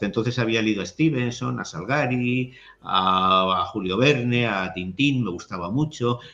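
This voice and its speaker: At a fairly slow pace, a man speaks with a medium pitch and ordinary pitch variation. His tone is bright and sharp. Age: 60s. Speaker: writer and literary critic. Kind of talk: interview conversation.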